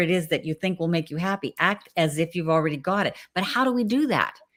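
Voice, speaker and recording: With a normal speaking voice, a woman talks at a moderate pace and a fairly low pitch. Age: 60s. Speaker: talk show host. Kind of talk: interview.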